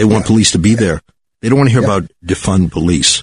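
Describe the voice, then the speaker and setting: A man talks very fast in a fairly low pitch, with a dry, close sound and no echo. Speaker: rabbi and radio host. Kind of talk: radio talk show, co-host chat. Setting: radio studio.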